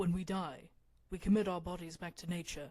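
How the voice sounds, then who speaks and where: This is a put-on character voice at a middle pitch with a calm tone. It moves at a fairly quick pace. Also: female-sounding voice. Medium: read story. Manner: calm, measured.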